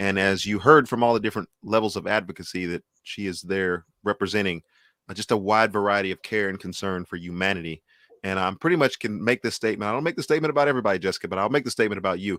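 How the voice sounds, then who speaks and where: In an American accent, a man with a fairly low pitch and a bright, sharp tone talks at a very fast pace, the sound dry and close with no echo. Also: ordinary pitch variation, very clean recording, silent background. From Texas. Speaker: music show host. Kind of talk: interview.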